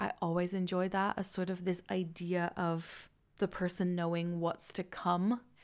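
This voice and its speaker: A woman with a Dutch accent at a moderate pace, on a very clean recording with a silent background. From Netherlands. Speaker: podcast host and book creator. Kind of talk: podcast book discussion.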